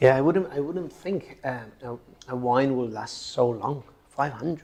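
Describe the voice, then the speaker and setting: Over noticeable background noise, a man talks at a fairly slow pace with a medium pitch and ordinary pitch variation. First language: Spanish. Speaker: lawyer. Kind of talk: casual chat. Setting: winery.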